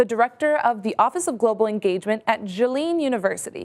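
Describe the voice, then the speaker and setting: This woman's pitch swings very widely. She talks very fast. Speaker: television anchor and host. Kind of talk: news anchor broadcast delivery.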